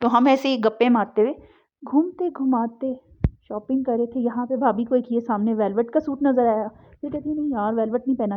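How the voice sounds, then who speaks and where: Shaky and high-pitched, a woman speaks at a fairly slow pace with fairly even intonation. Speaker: vlogger. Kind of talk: vlog voice-over narration. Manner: shivering, trembling voice; casual chatty.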